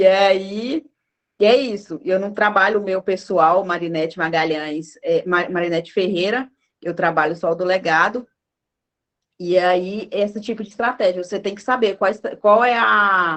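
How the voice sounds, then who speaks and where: A woman talks in an unremarkable speaking voice with ordinary pitch variation. Her loudness swings widely. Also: medium pitch for a woman, fairly slow pace. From northern Minas Gerais, Brazil. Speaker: marketing speaker. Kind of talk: talk at an online lecture event.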